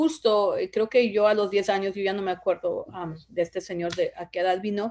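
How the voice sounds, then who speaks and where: A woman speaks with a medium pitch. The background is quiet. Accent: Oaxacan. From Oaxaca, Mexico (Zapotec village), raised in Los Angeles from age 10. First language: Zapotec (speaking Spanish). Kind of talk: interview. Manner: hesitant, many fillers.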